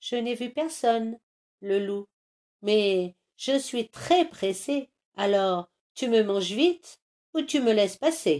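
Her voice sits fairly high, and her intonation is lively. The woman talks at a very slow pace with long, frequent pauses. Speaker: storyteller. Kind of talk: fairy tale narration. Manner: animated, playful with rhythmic repetitions.

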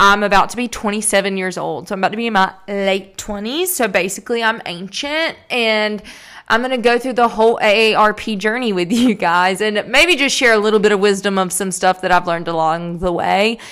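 A woman's animated, medium-pitched voice with a strong Southern US accent, at a fairly quick pace with hardly any pauses. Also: ordinary pitch variation. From US South. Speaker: podcast host. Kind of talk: casual solo monologue. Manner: chatty, animated.

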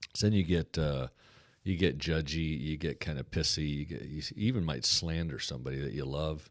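Vocal fry runs through fairly quick speech in an American accent, with ordinary pitch variation on a very clean recording with a silent background. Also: man, very deep, low pitch for a man. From US Pacific Northwest, Portland, Oregon. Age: 50s. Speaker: pastor and church planter. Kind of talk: casual interview chat.

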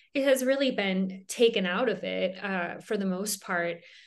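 A woman with an American accent, medium in pitch with ordinary pitch variation, at a fairly slow pace over a quiet background. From Minnesota, US Upper Midwest. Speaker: tattoo artist and magic shop owner. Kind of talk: casual interview chat. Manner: halting, many fillers.

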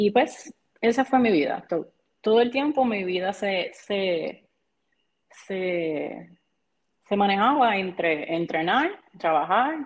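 A woman with a Puerto Rican accent speaks at a very slow pace in a medium pitch, with very wide pitch swings and long, frequent pauses. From Puerto Rico, Barranquitas. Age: 30s. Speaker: CrossFit athlete and coach. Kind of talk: casual interview.

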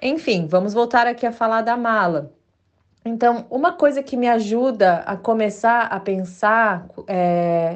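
A woman with a fairly high voice talks at a fairly slow speed. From Brazil. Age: 40s. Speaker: podcast host, sustainable stylist. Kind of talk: casual solo podcast monologue. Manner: hesitant, many filler words.

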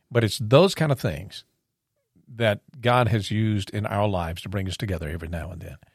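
Heard on a very clean recording with a silent background, a man with a plain, everyday voice talks at a fairly quick pace and a fairly low pitch, his intonation lively. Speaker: podcast guest and intro voice. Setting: studio.

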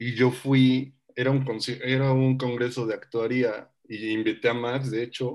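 His intonation is monotone and flat. The man's pitch sits at a medium level. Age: 20s. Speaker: podcast co-host. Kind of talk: casual chat.

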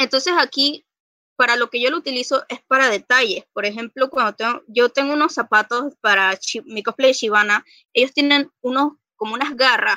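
Dry, close sound with no echo, carrying a woman's high, bright, sharp voice, raised and projected, at a moderate pace with ordinary pitch variation. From Panama City, Panama. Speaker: cosplayer and costume maker. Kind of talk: casual chat.

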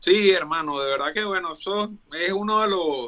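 A man with a Venezuelan accent uses a raised, projected voice at a high pitch. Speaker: Paralympic sports promoter. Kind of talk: casual chat.

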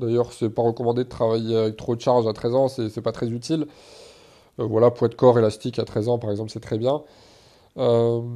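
A man with a dark, mellow tone and medium pitch talks fairly quickly in a flat monotone, leaving long, frequent pauses. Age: 20s. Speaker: fitness and self-development podcaster. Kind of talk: solo Q&A podcast. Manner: casual.

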